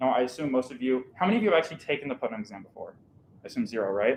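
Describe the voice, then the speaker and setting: Here a man talks with lively intonation. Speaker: math educator. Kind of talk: lecture. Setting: classroom with live audience, streamed. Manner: loud.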